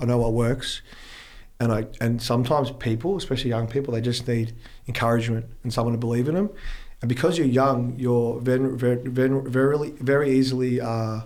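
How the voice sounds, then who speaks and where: A man with an Australian accent, medium pitch and fairly even intonation at a fairly quick pace, with audible room echo. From Australia, Melbourne. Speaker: fitness influencer, clothing brand owner. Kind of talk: casual chat.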